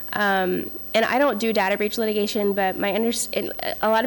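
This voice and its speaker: A woman talks at a fairly quick pace with a fairly high pitch. Her intonation is fairly even. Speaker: privacy lawyer on a panel. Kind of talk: panel presentation. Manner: fast.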